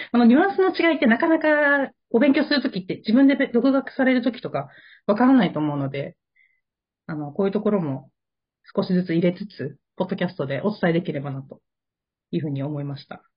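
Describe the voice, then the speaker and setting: A woman speaks very fast at a medium pitch, her somewhat breathy voice swinging widely in pitch and rising and falling sharply in loudness. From Japan. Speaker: podcast co-host. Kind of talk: casual chat.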